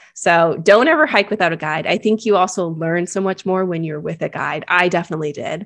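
A woman speaks with a Californian accent at a fairly low pitch and ordinary pitch variation. Her pace is fairly quick, with hardly any pauses. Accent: Californian American. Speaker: travel blogger. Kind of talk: casual interview. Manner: animated.

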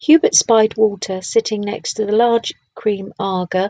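An unforced reading voice with fairly even intonation, over a quiet background

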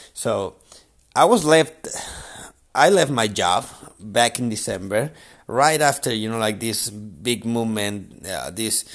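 A man speaks at a medium pitch with a Spanish accent. The recording is very clean, with a silent background. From Chile. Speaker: podcast host, entrepreneur. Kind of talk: motivational monologue. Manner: halting, many fillers.

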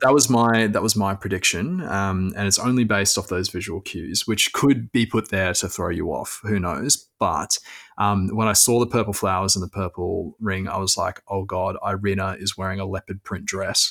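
A man with an Australian accent, fairly low pitch, fairly even intonation, moderate pace and hardly any pauses, on a very clean recording with a silent background. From Queensland, Australia. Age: 20s. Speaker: property journalist. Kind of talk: casual chat.

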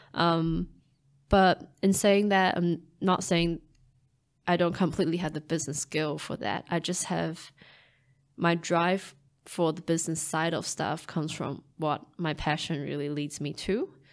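Fairly slow, fairly even speech with a Chinese accent, in a very clean recording over a silent background. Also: woman, fairly low pitch for a woman. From Taiwan. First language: Mandarin Chinese. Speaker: scientist and startup founder. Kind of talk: casual interview conversation.

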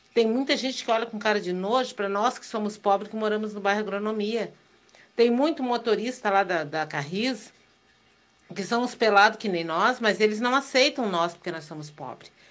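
A woman has an unremarkable speaking voice, pitched fairly high, with ordinary pitch variation. She keeps a moderate pace but shows big swings in loudness. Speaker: listener sending voice message. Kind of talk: voice message.

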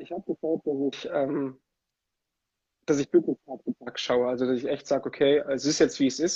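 This man's pitch is fairly high and his intonation is monotone and flat. He keeps a moderate pace. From Germany, Italian family. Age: 20s. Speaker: ice hockey player and musician. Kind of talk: casual interview. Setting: Instagram livestream.

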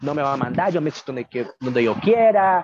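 Fairly high in pitch, a man talks with lively intonation, the sound dry and close with no echo. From Nicaragua, Managua. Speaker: magazine contributor, migrant. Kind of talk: casual interview chat.

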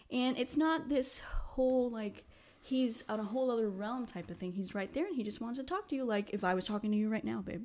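A woman's fairly high voice, fairly quick in pace with lively intonation. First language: not English. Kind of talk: casual faith discussion.

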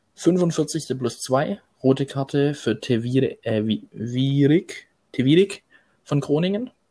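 Somewhat breathy, a man speaks at a fairly high pitch with lively intonation. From Swabia, Germany. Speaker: football fan, groundhopping youtuber. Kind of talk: casual chat.

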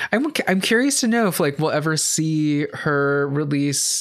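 Delivered at a medium tempo, an unremarkable speaking voice shows ordinary pitch variation. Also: man. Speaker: podcast host. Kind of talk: casual podcast chat about pop music.

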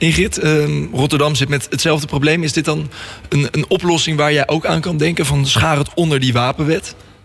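A man talks at a fairly quick pace in a fairly high voice. Noticeable background noise runs under his speech. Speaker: radio host. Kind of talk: radio interview. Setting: studio.

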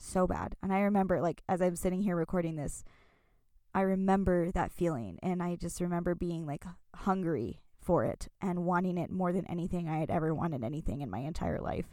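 Recorded very cleanly against a silent background, a woman with a fairly low pitch talks at a fairly quick pace in an animated tone with ordinary pitch variation. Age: 20s. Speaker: podcast host. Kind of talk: personal storytelling monologue. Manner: animated, frequent laughter.

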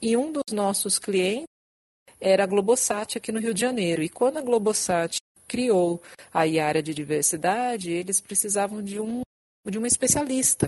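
Speaking at a moderate pace in a medium pitch, a woman has a plain, everyday voice with lively intonation and a dry, close sound with no echo. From São Paulo, Brazil. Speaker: diversity and inclusion specialist. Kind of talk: podcast interview.

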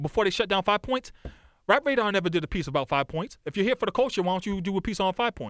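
With lively intonation and an American accent, a man speaks in a high pitch on a very clean recording with a silent background. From Boston, South End / Lower Roxbury. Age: 40s. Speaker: music journalist and historian. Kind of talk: casual chat. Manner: rapid, run-on speech.

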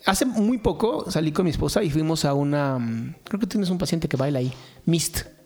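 Fairly quick, lively speech from a man with a fairly high pitch and a Mexican accent. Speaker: podcast co-host. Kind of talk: casual chat.

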